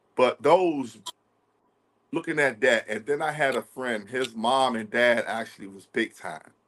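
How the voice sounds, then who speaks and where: The speech moves at a fairly slow pace with ordinary pitch variation. Its loudness swings widely. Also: man, medium pitch for a man. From Washington DC. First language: American Sign Language. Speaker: ASL interpreter, formerly incarcerated. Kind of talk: interview testimony.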